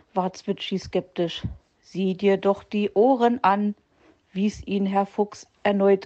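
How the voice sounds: Over a quiet background, the speaker reads in a natural reading voice.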